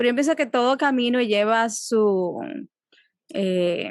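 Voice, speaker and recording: Here a woman speaks with a Dominican accent. Her pitch is fairly high. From Dominican Republic. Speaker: psychologist. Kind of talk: interview. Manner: halting.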